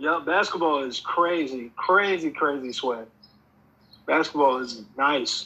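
Speaking very slowly, a man with an American accent has a bright, sharp tone and ordinary pitch variation. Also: fairly high pitch for a man. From Pennsylvania, US. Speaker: music artist and producer. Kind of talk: casual chat.

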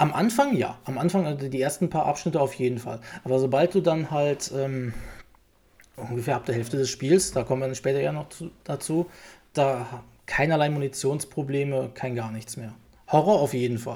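Moderate-paced speech from a man, somewhat breathy and dark, mellow in tone, fairly high-pitched, with ordinary pitch variation. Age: 30s. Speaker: games journalist. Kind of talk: casual chat.

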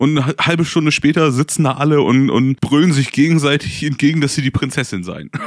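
An ordinary speaking voice at a fairly quick pace with hardly any pauses and ordinary pitch variation. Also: man, fairly high pitch for a man. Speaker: board game podcast co-host. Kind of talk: casual chat.

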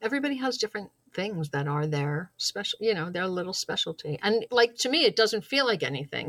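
With a normal speaking voice, a woman talks at a moderate pace and medium pitch, her intonation lively and the sound dry and close with no echo. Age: 50s. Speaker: small business owner. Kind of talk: casual chat. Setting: call.

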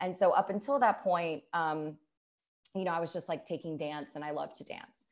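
A woman speaks in a normal speaking voice at a moderate pace, her fairly low pitch showing ordinary variation while her loudness swings widely. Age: 30s. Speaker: musical theater actress. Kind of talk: casual interview chat. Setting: remote interview during pandemic. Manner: warm, chatty.

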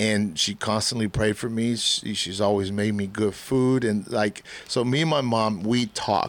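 A man with a normal speaking voice, fairly low in pitch, at a fairly slow pace with hardly any pauses and very even loudness. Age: 40s. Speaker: podcast host and church youth leader. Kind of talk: casual chat.

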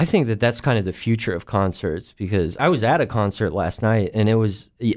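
A man with a plain, everyday voice talks at a moderate pace, his fairly low pitch carrying lively intonation, on a very clean recording with a silent background. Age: 30s. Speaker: comedian. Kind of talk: casual chat.

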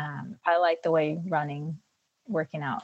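A woman's fairly low, fairly slow voice, an unremarkable speaking voice. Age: 40s. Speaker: mother of three, longtime fitness client. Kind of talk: interview conversation.

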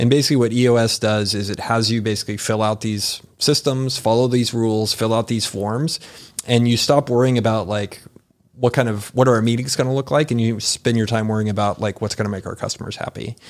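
A man speaks in a normal speaking voice at medium pitch, his intonation fairly even. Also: fairly quick pace. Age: 40s. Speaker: entrepreneur. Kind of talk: casual chat.

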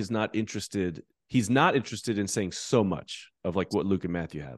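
Against a quiet background, a man talks at a moderate pace in a dry, close sound with no echo. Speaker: biblical scholar. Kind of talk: casual interview about the Bible. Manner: warm, informal.

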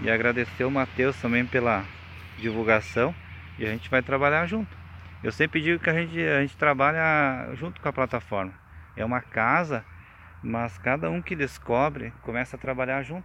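The man's bright, sharp tone sits at medium pitch, with very wide pitch swings. He moves at a moderate pace over a quiet background. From Rio Grande do Sul, Brazil. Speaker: beekeeper and spiritual group member giving testimony. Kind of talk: testimony. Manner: halting.

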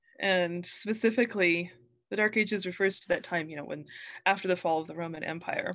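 A normal speaking voice with an American accent, fairly quick in pace, with ordinary pitch variation, big swings in loudness and a quiet background. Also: woman, medium pitch for a woman. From New Mexico, US. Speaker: author. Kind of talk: casual interview.

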